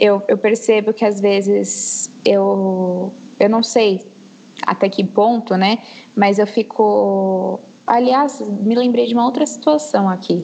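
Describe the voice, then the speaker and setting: Noticeable background noise behind a woman's fairly high voice, very slow in pace, with ordinary pitch variation. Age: 20s. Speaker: history teacher. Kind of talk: casual chat.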